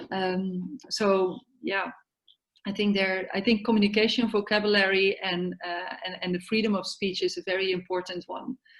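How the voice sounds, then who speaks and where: Her intonation fairly even, a woman speaks at a medium pitch and a moderate pace. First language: not English. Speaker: yoga therapy network organizer. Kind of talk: online meeting discussion. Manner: halting.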